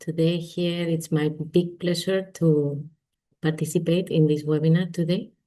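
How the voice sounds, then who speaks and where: Fairly low-pitched and dark, mellow in tone, a woman's flat, monotone delivery in a Spanish accent at a fairly slow pace. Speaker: finance executive. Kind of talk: webinar panel introduction.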